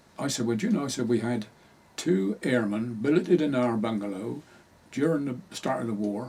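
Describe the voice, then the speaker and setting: Over noticeable background noise, a man speaks in a rural Hampshire accent with lively intonation. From southern England, Hampshire. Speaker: local history interviewee. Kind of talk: oral history interview.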